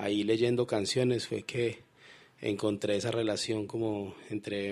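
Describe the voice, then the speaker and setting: A man's fairly low, monotone, flat voice at a fairly slow pace. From Colombia, Pereira. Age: 30s. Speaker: writer and poet. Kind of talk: radio interview. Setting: studio.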